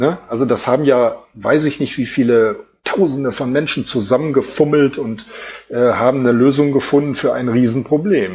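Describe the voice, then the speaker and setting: With a medium pitch and ordinary pitch variation, a man is talking. His delivery is moderately paced and somewhat breathy. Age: 50s. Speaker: streak runner and author. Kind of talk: interview.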